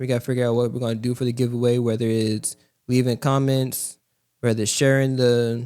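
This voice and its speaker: This man's dark, mellow tone carries a fairly even intonation. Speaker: podcast co-host. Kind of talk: casual chat.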